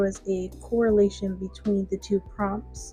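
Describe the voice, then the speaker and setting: Quiet and fairly slow, a woman speaks over music in the background. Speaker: digital artist and video commentator. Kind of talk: speedpaint commentary. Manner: gradually gets quieter.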